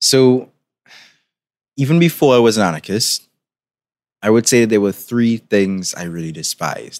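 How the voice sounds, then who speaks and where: In a very clean recording with a silent background and a dry, close sound with no echo, a man speaks with lively intonation in a Trinidadian accent. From Trinidad and Tobago. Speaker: podcast host. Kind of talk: scripted narration of a history essay.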